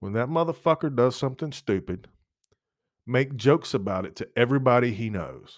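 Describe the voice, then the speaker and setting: A man with vocal fry speaks at a medium pitch and a fairly quick pace, with ordinary pitch variation and an animated tone. His loudness swings a lot in a very clean recording with a silent background. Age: 40s. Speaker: podcast host. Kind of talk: casual monologue.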